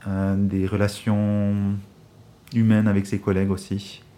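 A man speaks at a fairly slow pace with a fairly low pitch. His tone is dark and mellow. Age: 30s. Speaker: dental hygienist. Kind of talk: interview about his job.

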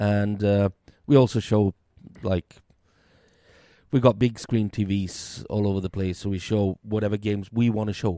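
Over a very clean recording with a silent background, a man with a Swedish accent speaks at a moderate pace with long, frequent pauses, his fairly low, dark, mellow voice fairly even in intonation and the sound dry and close with no echo. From Sweden. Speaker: beer podcaster and restaurant worker. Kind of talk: casual chat. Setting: at home.

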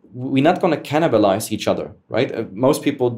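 A man speaks with a German accent. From Germany. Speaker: esports entrepreneur. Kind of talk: interview conversation. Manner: hesitant, filler-heavy.

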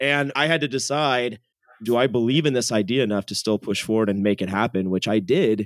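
With an American accent, a man talks at a fairly quick pace in a medium pitch with ordinary pitch variation and an ordinary speaking voice. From US West Coast, San Jose, California. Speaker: tech company founder. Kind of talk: casual interview. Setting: podcast interview.

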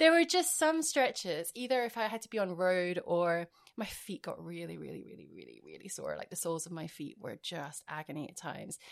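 In a very clean recording with a silent background, a woman with an Edinburgh accent talks at a fairly quick pace with hardly any pauses and big swings in loudness. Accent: Scottish (Edinburgh). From Scotland, Edinburgh. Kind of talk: casual chat.

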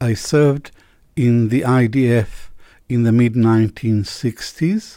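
This man's voice has a dark, mellow tone. His intonation stays fairly even. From Israel (born in Iraq). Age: 70s. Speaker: historian and professor. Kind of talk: interview. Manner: halting, many fillers.

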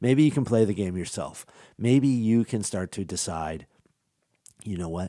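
In a very clean recording with a silent background, a man with a dark, mellow tone and fairly low pitch speaks at a moderate pace, leaving long, frequent pauses. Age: 40s. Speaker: podcast host on voice technology. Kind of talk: solo podcast monologue. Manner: conversational, some self-repetition.

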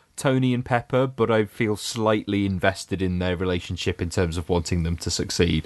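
Against a quiet background, a man with a fairly low pitch talks at a fairly quick pace in an ordinary speaking voice. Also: ordinary pitch variation. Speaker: podcast co-host. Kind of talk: casual podcast chat about comic book movies.

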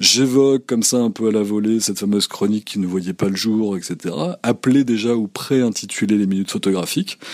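The delivery comes at a fairly quick pace with fairly even intonation, in a dry, close sound with no echo. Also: man, fairly low pitch for a man. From France, Normandy. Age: 40s. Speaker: photographer and podcast host. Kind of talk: interview conversation. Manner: hesitant, many fillers.

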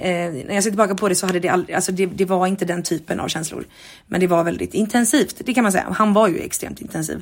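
At a very fast pace, a woman with vocal fry speaks in a medium pitch with ordinary pitch variation. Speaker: podcast host. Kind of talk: casual diary monologue. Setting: at home.

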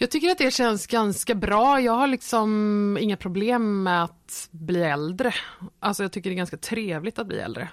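In a very clean recording with a silent background, a woman speaks at a moderate pace, medium in pitch, with lively intonation. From Sweden, Nybro in Småland. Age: 30s. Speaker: performer. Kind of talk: casual chat. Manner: talkative.

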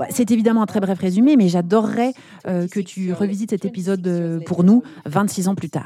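This woman has an unremarkable speaking voice at a medium pitch. Her pitch varies normally, and her pace is moderate. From eastern France, Besançon. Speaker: podcast host and brand founder. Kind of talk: interview.

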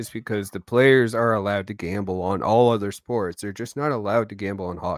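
A man with an ordinary speaking voice and fairly low pitch speaks with ordinary pitch variation, the recording very clean with a silent background and a dry, close sound with no echo. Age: 30s. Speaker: podcast co-host, dad. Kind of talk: casual chat.

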